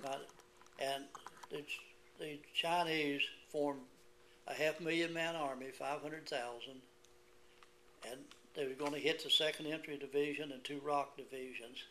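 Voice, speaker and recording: A man with an Appalachian accent at a fairly high pitch and moderate pace, with a bright, sharp tone, monotone, flat intonation and long, frequent pauses. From West Virginia. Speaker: Korean War veteran. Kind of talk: oral history interview answer.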